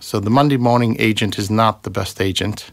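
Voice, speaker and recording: A normal speaking voice from a man, fairly low in pitch, fairly quick, with fairly even intonation. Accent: American. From US Massachusetts. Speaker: property investor and former software engineer. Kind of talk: casual chat. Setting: studio.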